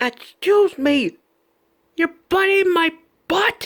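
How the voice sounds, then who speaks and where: Putting on a character voice, a woman speaks very slowly at an extremely high pitch. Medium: fan dub. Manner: brash, exclaiming.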